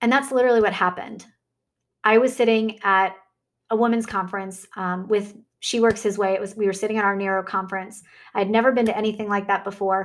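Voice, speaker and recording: Her tone warm and her intonation monotone and flat, a woman speaks at a very fast pace on a very clean recording with a silent background. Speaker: podcast host and fitness coach. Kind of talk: motivational faith talk. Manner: warm, conversational.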